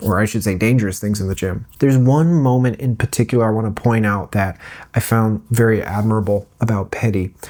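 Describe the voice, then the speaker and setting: A soft-spoken man with a dark, mellow tone is heard on a very clean recording with a silent background. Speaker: streamer and vlogger. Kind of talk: casual vlog storytelling. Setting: not in usual recording space at home. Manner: soft-spoken, keeping voice low.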